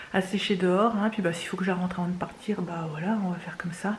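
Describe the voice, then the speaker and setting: A woman talks at a medium pitch with fairly even intonation over noticeable background noise. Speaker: family vlogger, mother of three. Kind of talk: casual vlog talk to camera. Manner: fast; hesitant, many fillers.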